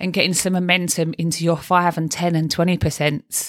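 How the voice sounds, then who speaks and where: With a Cockney accent, a woman talks at a fairly quick pace in a fairly low, monotone, flat voice, recorded dry and close with no echo on a very clean recording with a silent background. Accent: Cockney London. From London (East End). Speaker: life coach and podcast host. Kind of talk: solo podcast monologue. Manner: chatty, talkative.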